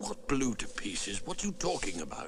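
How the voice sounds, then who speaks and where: Clear background noise sits behind a man doing a cartoonish character voice at a fairly quick pace. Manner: steady, blunt.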